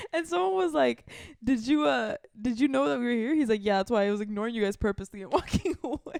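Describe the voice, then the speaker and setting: A woman talks at a very fast pace in an animated tone, her fairly high pitch swinging very widely. The sound is dry and close with no echo, and the background is quiet. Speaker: podcast co-host. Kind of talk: casual chat.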